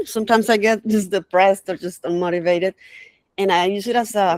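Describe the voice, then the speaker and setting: The sound is dry and close with no echo as a woman talks at a moderate pace with ordinary pitch variation. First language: not English. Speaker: community member sharing AI experiences. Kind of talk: casual chat. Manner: halting.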